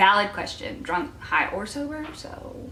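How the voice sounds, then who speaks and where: A woman speaks in a raised, projected voice at a moderate pace with lively intonation. Noticeable background noise is present. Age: 20s. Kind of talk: casual talk to camera.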